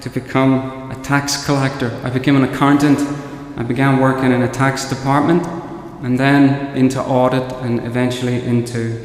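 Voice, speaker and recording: A man speaks at a medium pitch and a moderate pace, his intonation flat and monotone. The room echo is audible, and background noise is noticeable. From Northern Ireland. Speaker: priest. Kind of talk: homily. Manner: halting, with frequent repetitions.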